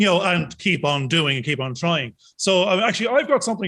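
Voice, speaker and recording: On a very clean recording with a silent background, a man talks at a very fast pace with an Irish accent. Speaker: podcast co-host. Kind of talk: casual chat.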